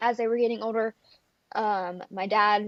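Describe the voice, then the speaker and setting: Recorded dry and close with no echo against a quiet background, a woman speaks with a Texas accent. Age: 20s. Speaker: country singer and college student. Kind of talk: casual interview. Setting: video call.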